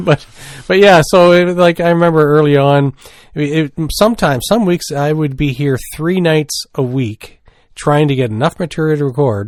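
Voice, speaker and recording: With a Maritime Canadian accent, a man talks at a moderate pace and a fairly high pitch, his pitch varying in an ordinary way over a very clean recording with a silent background. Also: dry, close sound with no echo. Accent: Maritimes Canadian. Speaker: podcast co-host. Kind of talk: casual chat.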